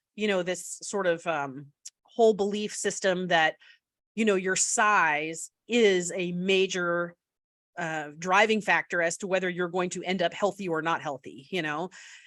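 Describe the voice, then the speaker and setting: A woman's voice at medium pitch and a fairly slow pace, an ordinary speaking voice. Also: fairly even intonation. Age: 40s. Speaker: pediatrician. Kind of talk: interview. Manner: casual, many fillers.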